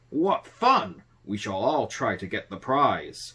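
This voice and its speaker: Someone puts on a character voice and speaks fairly slowly. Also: man, fairly high pitch for a man. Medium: read story. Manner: hearty, boastful.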